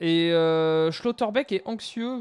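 The pitch varies in an ordinary way. The speaker is a man. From western France (Tours, Angers, Pays de la Loire); western France. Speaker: video game YouTuber. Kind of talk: gameplay commentary. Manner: casual, conversational. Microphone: headset.

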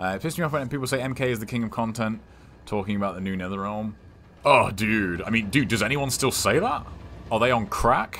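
At a fairly quick pace, a man speaks at a medium pitch in a normal speaking voice. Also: ordinary pitch variation. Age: 30s. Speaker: video game streamer. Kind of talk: casual gaming livestream chat. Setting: live stream with chat.

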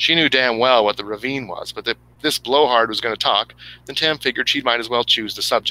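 The voice reads naturally. Its pitch varies in an ordinary way.

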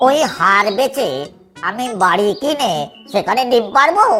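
With faint music in the background, a female-sounding cartoonish character voice in a high pitch speaks at a fairly slow pace.

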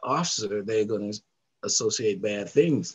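The voice is somewhat breathy. It belongs to a man. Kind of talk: interview answer. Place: home room. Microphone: headset.

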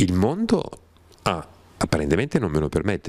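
The man's pitch swings very widely at a fairly quick pace. The sound is dry with no echo over a quiet background. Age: 60s. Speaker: writer and scholar of religions; interviewee. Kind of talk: interview talk. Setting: studio without audience. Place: home room. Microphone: handheld.

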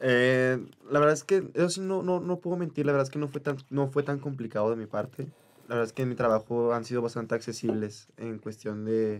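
A man's pitch varies in an ordinary way as he talks at a fairly quick pace. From Oaxaca, Mexico. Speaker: musical theatre actor. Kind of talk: casual chat. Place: studio. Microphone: studio mic.

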